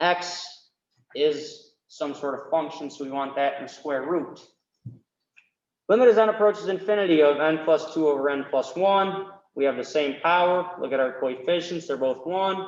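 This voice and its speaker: A man with a normal speaking voice talks at a fairly high pitch, with ordinary pitch variation. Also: moderate pace. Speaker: math tutor. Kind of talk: tutorial.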